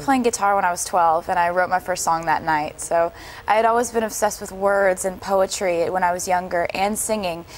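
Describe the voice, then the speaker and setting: A woman with an American accent speaks at a medium pitch and a fairly quick pace. Her intonation stays fairly even. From Pennsylvania, USA. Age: young. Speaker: singer-songwriter. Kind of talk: interview answer.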